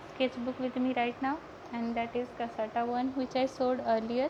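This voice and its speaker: In an Odisha accent, a woman speaks at a high pitch. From India, Odisha. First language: Odia. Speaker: sketchbook artist and painting teacher. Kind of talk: live painting tutorial. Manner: halting, many fillers.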